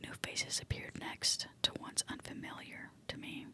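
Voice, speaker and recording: A woman is whispering. There is noticeable background noise behind her. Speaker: ASMR creator. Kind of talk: whispered horror story reading for relaxation. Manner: whispering, soft.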